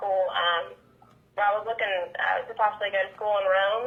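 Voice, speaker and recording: At a very fast pace, a woman with a Southern accent speaks in a fairly high voice with fairly even intonation. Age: 20s. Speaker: country pop singer. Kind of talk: interview chat.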